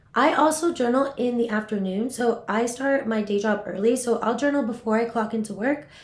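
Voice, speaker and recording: With noticeable background noise behind her, a woman with an American accent and fairly high pitch speaks at a fairly quick pace with ordinary pitch variation. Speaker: voiceover artist. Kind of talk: casual talk to camera. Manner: upbeat, enthusiastic.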